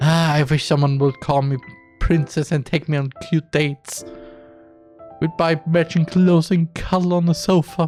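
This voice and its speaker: A man's put-on, squeaky character voice at a fairly high pitch and moderate pace, with faint music in the background. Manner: mocking.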